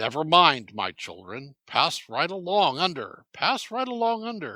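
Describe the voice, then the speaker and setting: A man puts on a drawling character voice, pitched high with very wide pitch swings. He keeps to a moderate pace. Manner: slow, drawling.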